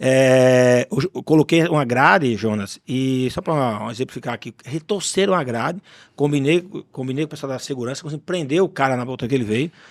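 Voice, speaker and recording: Here is a man with an ordinary speaking voice at a medium pitch and moderate pace. His pitch varies in an ordinary way, and the recording is very clean with a silent background. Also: dry, close sound with no echo. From Paraíba interior, northeastern Brazil. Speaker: podcast host, business owner. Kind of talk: casual chat.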